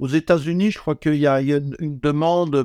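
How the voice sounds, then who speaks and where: In a very clean recording with a silent background, a man speaks at a moderate pace with a dark, mellow tone and a dry, close sound with no echo. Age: old. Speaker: neuroendocrinologist, retired professor. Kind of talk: interview. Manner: halting, repeats words.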